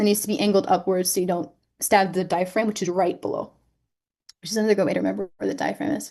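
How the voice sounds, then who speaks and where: A raspy put-on character voice rushes along at a very fast pace against a quiet background. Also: woman, medium pitch for a woman. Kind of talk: instructional, medical teaching. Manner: talking fast.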